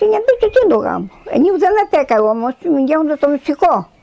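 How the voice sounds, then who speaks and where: A woman speaks at a high pitch in a Tsakonian accent. Her moderate pace carries very wide pitch swings. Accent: Tsakonian dialect Greek. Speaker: elderly villager, dialect speaker. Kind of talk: oral history interview.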